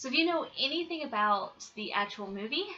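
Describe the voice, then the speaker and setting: A soft-spoken woman with a bright, sharp tone and an American accent. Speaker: YouTuber, movie reviewer. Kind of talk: casual vlog review. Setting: at home, roommate asleep. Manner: soft-spoken, keeping voice down; hesitant, many ums.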